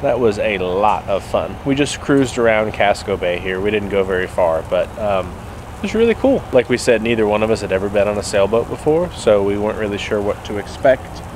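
Over noticeable background noise, a man talks at a fairly quick pace with hardly any pauses and ordinary pitch variation, the sound dry with no echo. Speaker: travel vlogger. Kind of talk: casual vlog chat. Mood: relaxed, upbeat. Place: waterside. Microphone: phone near.

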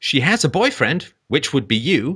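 At a moderate pace, the voice has a slightly husky edge and big pitch swings on a very clean recording with a silent background. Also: man.

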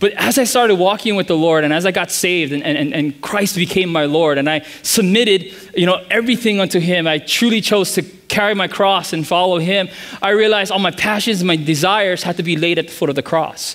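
A man speaks with a high pitch. The pitch variation is ordinary. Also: fairly quick pace. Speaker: pastor. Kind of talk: sermon. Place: church.

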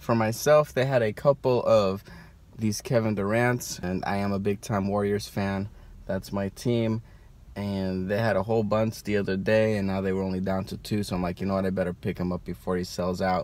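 Delivered at a moderate pace with fairly even intonation, an ordinary speaking voice comes through with a dry sound and no echo. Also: man, fairly low pitch for a man. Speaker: toy collector vlogger. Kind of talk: casual vlog chat. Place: car. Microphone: phone near.

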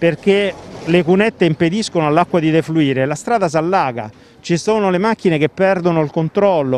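A man with a high pitch and ordinary pitch variation speaks fairly quickly, in a dry sound with no echo. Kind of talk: interview answer. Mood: complaining, concerned. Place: street. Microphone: handheld.

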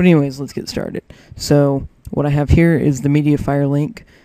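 A quiet man's voice, fairly high-pitched, with a dark, mellow tone. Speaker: gaming video editor and tutorial maker. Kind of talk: tutorial. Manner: quiet, subdued; casual, filler-heavy.

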